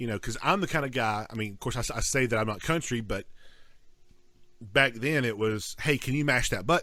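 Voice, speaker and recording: A man talks at a fairly quick pace with a slight Southern US accent. His tone is bright and sharp. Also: medium pitch for a man, ordinary pitch variation. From North Georgia. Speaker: podcast co-host. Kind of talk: casual chat. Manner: halting, many repeated words.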